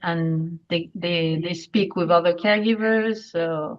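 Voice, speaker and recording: In a French accent, a woman speaks at a fairly slow pace with ordinary pitch variation. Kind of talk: webinar presentation Q&A. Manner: halting.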